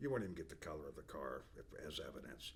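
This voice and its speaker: Vocal fry marks this man's very deep, low voice. He talks at a fairly quick pace with lively intonation. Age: 60s. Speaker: business owner presenting company products. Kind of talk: product overview monologue. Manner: casual, with frequent fillers and restarts.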